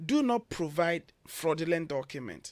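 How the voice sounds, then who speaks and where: A man's fairly high voice with a Ghanaian accent. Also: very clean recording, silent background. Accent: typical Ghanaian. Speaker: education consultant. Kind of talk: radio interview.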